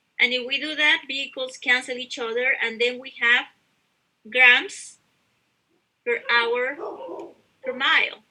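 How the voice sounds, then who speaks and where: A woman speaks fairly slowly in a raised, projected, high-pitched voice with a bright, sharp tone, fairly even intonation, big swings in loudness and long, frequent pauses. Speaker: university instructor. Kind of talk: lecture.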